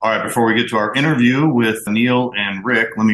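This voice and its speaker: A man speaks very fast at a medium pitch, his bright, sharp tone held to fairly even intonation. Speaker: podcast host. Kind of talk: podcast interview and listener mail.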